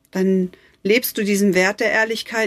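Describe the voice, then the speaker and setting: Her voice is fairly high and warm in tone, and this woman speaks at a very slow pace with fairly even intonation. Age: 40s. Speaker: life coach / podcast host. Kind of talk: motivational podcast monologue. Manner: warm, emotive.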